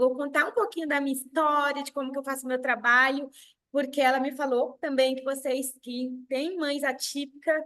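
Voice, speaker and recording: A woman's bright, sharp voice, high in pitch, at a moderate pace with fairly even intonation. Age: 30s. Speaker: sales director. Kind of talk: motivational talk. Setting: video call.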